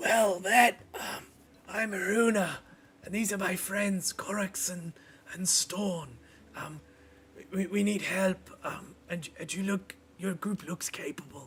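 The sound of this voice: A put-on character voice comes out raspy at a middle pitch. It moves at a fairly slow pace with long, frequent pauses.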